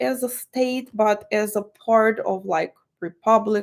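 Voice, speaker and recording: Very slow speech from a woman in a Russian accent, fairly high in pitch with lively intonation. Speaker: tarot reader. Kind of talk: tarot reading monologue. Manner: halting, many fillers.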